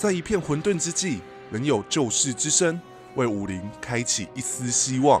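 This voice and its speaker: Over music in the background, a man talks at a fairly slow pace and medium pitch with very wide pitch swings. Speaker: YouTuber and podcaster. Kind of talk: documentary-style tribute narration. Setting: home studio, dynamic microphone.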